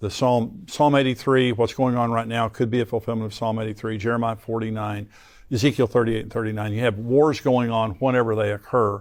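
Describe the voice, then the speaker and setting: Speaking at a fairly quick pace, a man with an American accent has an unremarkable speaking voice at a medium pitch. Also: fairly even intonation. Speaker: Bible prophecy teacher, pastor and show host. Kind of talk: interview host discussing Bible prophecy and current events.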